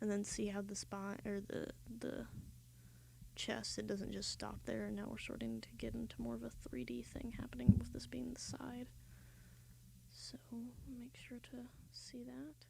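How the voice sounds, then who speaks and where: Soft-spoken delivery with an American accent, a moderate pace and long, frequent pauses. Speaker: art streamer. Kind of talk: live-stream drawing tutorial. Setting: live stream. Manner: casual, hesitant with fillers.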